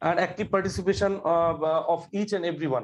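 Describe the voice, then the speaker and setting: Here a man speaks with a Bengali accent. His pitch is high and his pace fairly quick. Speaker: government employee, course graduate. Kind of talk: interview. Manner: halting, many fillers.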